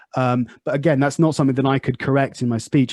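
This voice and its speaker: A man's medium-pitched voice with a slight Southwest English accent, in a very clean recording with a silent background. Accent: slight Southwest English, oi-like ou sound. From Southwest England. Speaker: podcast host and English teacher. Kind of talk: casual interview chat.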